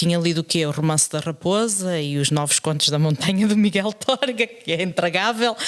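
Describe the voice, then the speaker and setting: Speaking at a moderate pace with hardly any pauses, a woman uses lively intonation in a fairly low pitch. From Portugal, moved to Canada at 13. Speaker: secondary school teacher and podcast co-host. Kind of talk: casual chat. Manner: hesitant, with frequent fillers and repetitions.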